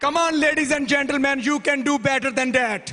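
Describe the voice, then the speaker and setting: Noticeable background noise sits behind a man's raised, projected voice. His pitch is extremely high, with fairly even intonation. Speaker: awards committee presenter at physicians' convention. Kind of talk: award presentation speech. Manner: formal.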